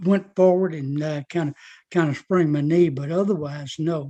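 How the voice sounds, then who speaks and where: With a Southern US accent, a man talks at a moderate pace in a fairly high pitch, his tone dark and mellow and his intonation fairly even, over a quiet background. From US South. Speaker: army veteran. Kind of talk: interview. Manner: halting.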